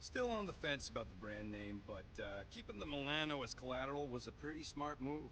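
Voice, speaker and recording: Over clear background noise, a man does a gruff, put-on character voice. He talks at a fairly quick pace with hardly any pauses. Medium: video game. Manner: gruff, sarcastic, slangy.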